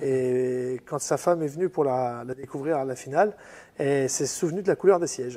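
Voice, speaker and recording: A man with a fairly high pitch speaks at a moderate pace, showing ordinary pitch variation. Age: 40s. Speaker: car restorer, garage owner. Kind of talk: casual interview on workshop tour. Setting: workshop. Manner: hesitant, many fillers.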